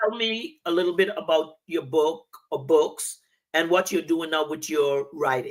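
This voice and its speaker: A woman speaks with an American accent at a fairly low pitch. It's an unremarkable speaking voice. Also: ordinary pitch variation. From North Carolina, Rocky Mount. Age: 60s. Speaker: vision coach, show host. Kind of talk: interview.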